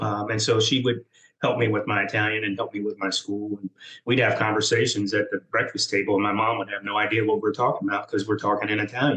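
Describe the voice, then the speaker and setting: A man with an American accent speaks very fast in a fairly low pitch. His tone is bright and sharp, his intonation monotone and flat. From US South, military brat (Georgia/Alabama). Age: 60s. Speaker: retired military officer. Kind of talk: interview conversation. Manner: halting, many fillers.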